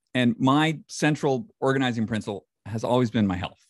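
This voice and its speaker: Speaking in an American accent with lively intonation, the voice keeps a moderate pace in a dry, close sound with no echo. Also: man, very clean recording, silent background. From western New York. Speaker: health and longevity publisher and podcaster. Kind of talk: interview conversation.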